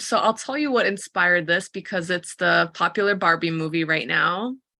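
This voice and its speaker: At a moderate pace and with hardly any pauses, a woman speaks at medium pitch in a bright, sharp tone. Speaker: career coach. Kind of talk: interview conversation.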